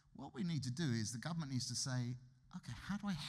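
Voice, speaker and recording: Somewhat breathy, a man with a British accent speaks at a very fast pace. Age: 50s. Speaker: economist. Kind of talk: lecture. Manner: conversational.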